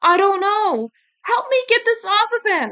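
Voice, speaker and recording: A woman does a squeaky, put-on character voice at an extremely high pitch, with very even loudness and a moderate pace, in a dry, close sound with no echo. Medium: read story.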